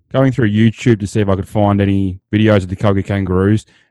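A man with an Australian accent and a fairly low pitch speaks at a fairly quick pace with fairly even intonation. The very clean recording has a silent background and a dry, close sound with no echo. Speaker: podcast co-host. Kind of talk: casual interview.

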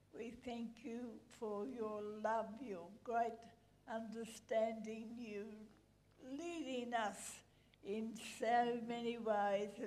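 A woman's fairly high voice, dark and mellow in tone, at a very slow pace with fairly even intonation. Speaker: elderly church member. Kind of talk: prayer. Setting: church service.

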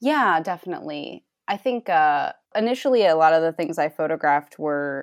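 In a very clean recording with a silent background and a dry, close sound without echo, a woman with an unremarkable speaking voice and an American accent talks at a fairly low pitch with lively intonation. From US Northeast, Rhode Island. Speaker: photographer. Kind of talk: interview.

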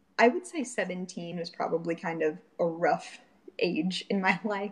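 Somewhat breathy and at a medium pitch, a woman speaks at a fairly slow pace with an American accent. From Florida. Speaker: churchgoer sharing faith story. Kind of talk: testimony. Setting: remote call.

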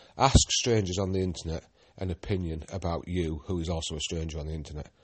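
A fairly quick, somewhat breathy delivery in a Yorkshire accent, with fairly even intonation. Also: man. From Yorkshire, northern England. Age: 40s. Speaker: podcast host and guidebook writer. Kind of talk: casual solo monologue. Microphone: new phone and headset, sound may be off.

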